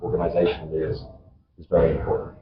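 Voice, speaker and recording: A man with a British accent at a very fast pace. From UK. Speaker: vendor representative on panel. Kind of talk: panel discussion.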